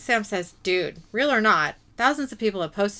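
The text is read aloud. It comes in a natural reading voice.

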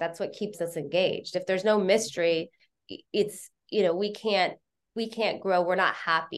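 An unremarkable speaking voice from a woman, medium-pitched and fairly even in intonation, at a moderate pace against a quiet background. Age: 50s. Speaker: television commercial director and producer. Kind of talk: casual interview conversation. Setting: video call.

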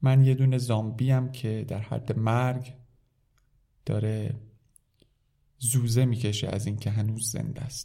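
A man's medium-pitched voice has a dark, mellow tone, somewhat breathy, with monotone, flat intonation and a moderate pace. Long, frequent pauses break up his speech, and the room echo is audible. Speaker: French language teacher. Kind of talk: reading aloud with translation.

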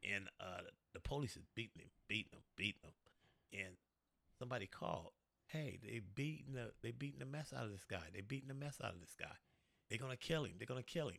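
A man with an American accent talks at a very fast pace in a medium-pitched voice with vocal fry. His intonation is lively, his loudness swings widely, and he leaves long, frequent pauses. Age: 50s. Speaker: truck driver, former gang member. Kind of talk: casual interview chat.

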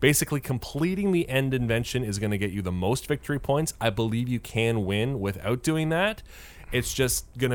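Using a normal speaking voice, a man talks at a fairly quick pace in a medium pitch with lively intonation. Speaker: podcast host. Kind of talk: casual chat.

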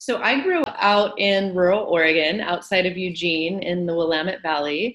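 A woman holds a medium pitch, a moderate pace and ordinary pitch variation as she talks. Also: hardly any pauses. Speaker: hypnosis practitioner. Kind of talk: casual chat. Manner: calm, soft-spoken.

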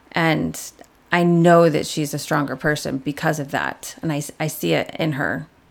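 A Chicago accent with vocal fry, a moderate pace and fairly even intonation. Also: woman, very deep, low pitch for a woman. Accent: Midwestern US (Chicago area). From Chicago southwest suburbs, Illinois. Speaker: hair salon worker. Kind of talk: casual interview. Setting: kitchen table recording.

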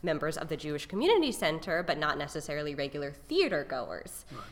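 Amid audible room echo, a woman speaks in a very deep, low voice. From North Carolina, Raleigh. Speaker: stage actor. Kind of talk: casual interview.

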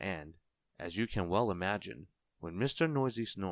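Over a quiet background, lively intonation colors an unforced reading voice.

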